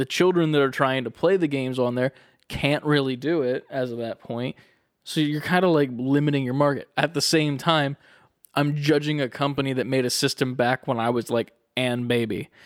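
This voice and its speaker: Recorded very cleanly with a silent background and a dry, close sound with no echo, a man talks at a moderate pace with fairly high pitch. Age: 20s. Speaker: gaming podcast co-host. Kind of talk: casual chat. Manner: animated.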